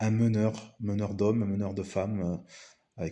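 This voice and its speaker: This man speaks at a fairly slow pace. His pitch is fairly low. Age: 40s. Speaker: business coach. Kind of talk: video presentation monologue. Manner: hesitant with many fillers.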